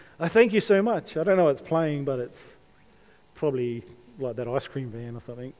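Lively intonation in an Australian accent. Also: man. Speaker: pastor. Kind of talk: sermon. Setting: church.

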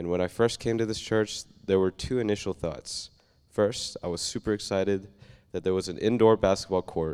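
In a plain, everyday voice, a man with a fairly low pitch speaks at a moderate pace with fairly even intonation. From Oklahoma. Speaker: church member. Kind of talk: testimony. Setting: church.

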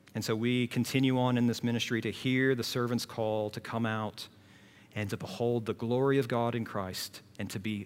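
A plain, everyday voice at a moderate pace. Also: man. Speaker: preacher. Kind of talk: sermon. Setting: church.

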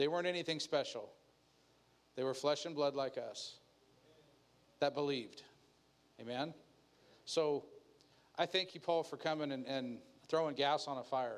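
At a moderate pace, the delivery keeps fairly even intonation and has long, frequent pauses. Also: man, fairly high pitch for a man. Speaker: pastor. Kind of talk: sermon.

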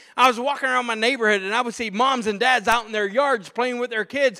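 A man projects a raised voice in an American accent. His pitch is extremely high, with a bright, sharp tone. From Pittsburgh, US. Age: 40s. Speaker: pastor. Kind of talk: sermon. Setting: church. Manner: animated.

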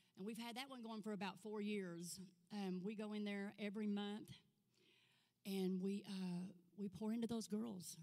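Someone with an Arkansas accent speaks at a moderate pace with long, frequent pauses. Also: woman, medium pitch for a woman. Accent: Southern US (Arkansas). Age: 50s. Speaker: guest speaker, ministry leader. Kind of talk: testimony. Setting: church. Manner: animated.

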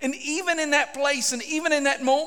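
A man with an extremely high pitch speaks in a raised, projected voice. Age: 40s. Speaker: pastor. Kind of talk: sermon. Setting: church.

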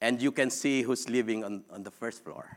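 A man speaks in a Filipino accent at a fairly slow pace. His medium-pitched voice has a bright, sharp tone. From Philippines. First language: Philippine language. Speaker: preacher. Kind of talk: sermon. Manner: halting.

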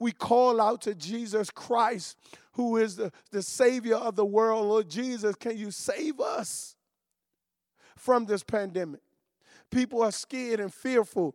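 On a very clean recording with a silent background, an animated voice with ordinary pitch variation goes at a fairly slow pace with long, frequent pauses. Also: man, high pitch for a man. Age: 40s. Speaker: pastor. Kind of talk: sermon. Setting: livestreamed from empty church building.

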